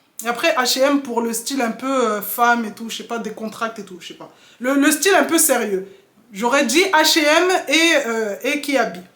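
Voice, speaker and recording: In a room with audible echo, a woman speaks at a moderate pace in a high pitch, her intonation lively and her loudness swinging widely. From Mayotte, moved to France at 7. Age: 30s. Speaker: mom vlogger. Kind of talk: casual Q&A vlog. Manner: hesitant, many filler sounds.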